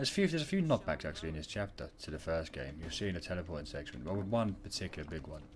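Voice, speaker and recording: A man talks very fast in a very deep, low, somewhat breathy voice with ordinary pitch variation. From London. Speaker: gaming YouTuber. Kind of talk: gameplay commentary. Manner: casual, halting with fillers. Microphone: too quiet.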